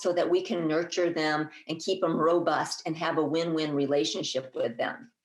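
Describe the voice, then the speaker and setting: The woman's voice carries an audible echo from the room. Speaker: herbalist and master gardener speaking at a conference. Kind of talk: conference talk. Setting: conference presentation. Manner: halting, with fillers and restarts.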